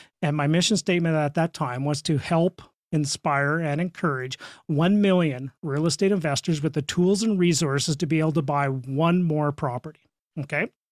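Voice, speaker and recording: A man speaks at a moderate pace with a western Canadian accent, his loudness very even. The sound is dry and close with no echo, and the recording is very clean over a silent background. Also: fairly high pitch for a man, ordinary pitch variation. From Saskatchewan, Canada. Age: 50s. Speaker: real estate investor and coach. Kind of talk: podcast interview.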